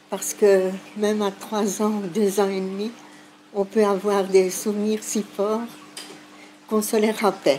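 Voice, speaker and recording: Against noticeable background noise, a woman at medium pitch speaks at a very slow pace with monotone, flat intonation. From Sicily, moved to Belgium aged 2. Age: 60s. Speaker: elderly migration witness. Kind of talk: testimony. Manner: hesitant, with fillers.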